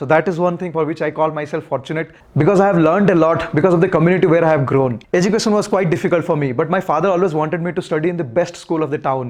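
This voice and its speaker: The speech comes at a very fast pace in an Odisha accent with ordinary pitch variation. The background is quiet. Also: man. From India, Odisha (Puri). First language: Odia. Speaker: motorcycle vlogger. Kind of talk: public talk.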